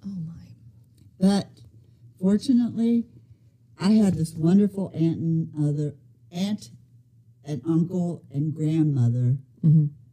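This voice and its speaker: In an American accent, a woman speaks fairly slowly with long, frequent pauses, her dark, mellow tone somewhat breathy and her intonation lively. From US Midwest, Ohio. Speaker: grandmother sharing faith story. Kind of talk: testimony.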